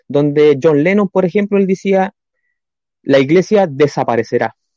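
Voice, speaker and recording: Here is a man with an unremarkable speaking voice. He talks at a fairly slow pace. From Chile, Coronel. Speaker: church planter. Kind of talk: religious talk show discussion. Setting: video call.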